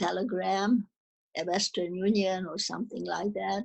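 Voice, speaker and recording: Here a woman talks at a medium pitch with vocal fry. She has a Hungarian accent. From Czechoslovakia (Munkács, now Ukraine). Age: 80s+. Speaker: Holocaust survivor. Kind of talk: testimony. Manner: halting.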